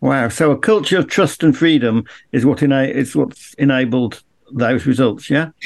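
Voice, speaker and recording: A man speaks at medium pitch and a moderate pace with vocal fry. His loudness stays very even, his pitch varies in an ordinary way, and the background is quiet. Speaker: podcast co-host and interviewer. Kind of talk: interview.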